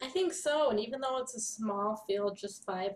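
Over light background noise, a woman keeps a moderate pace. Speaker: horse racing analyst. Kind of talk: commentary. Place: home room. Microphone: webcam.

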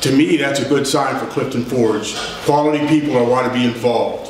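A man at a moderate pace with fairly even intonation, audible room echo and light background noise. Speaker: town council member. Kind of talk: meeting remarks. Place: hall. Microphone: camera far.

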